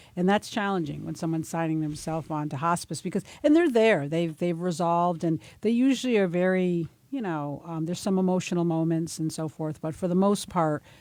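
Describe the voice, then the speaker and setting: In an ordinary speaking voice, a woman talks at a fairly quick pace and fairly low pitch with ordinary pitch variation. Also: hardly any pauses. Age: 50s. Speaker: senior living community staff. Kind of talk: casual chat.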